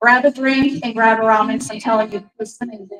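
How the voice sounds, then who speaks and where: Delivered at a fairly quick pace, the speech has ordinary pitch variation. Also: woman. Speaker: book club host. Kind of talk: live event introduction. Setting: bar with live audience. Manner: loud.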